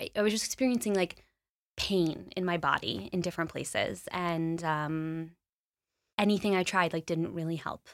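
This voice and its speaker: A woman's unremarkable speaking voice with an American accent, fairly low in pitch, with ordinary pitch variation and a moderate pace, on a very clean recording with a silent background. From Los Angeles, US. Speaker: meditation studio founder. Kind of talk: interview.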